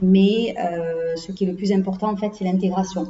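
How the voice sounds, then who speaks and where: A woman's voice with monotone, flat intonation. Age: 40s. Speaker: HR consultant. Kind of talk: interview. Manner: hesitant, many fillers.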